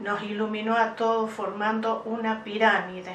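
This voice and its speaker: Over noticeable background noise and audible room echo, a woman with an Argentine accent speaks in a fairly high pitch with monotone, flat intonation. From Argentina, Santa Fe province. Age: 60s. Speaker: UFO contact witness. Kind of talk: interview testimony. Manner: hesitant with many fillers.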